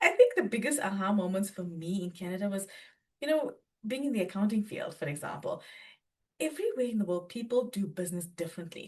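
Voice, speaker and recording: A somewhat breathy woman with a South African accent, lively intonation and a very fast pace. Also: medium pitch for a woman. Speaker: accountant and business owner. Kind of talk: podcast interview.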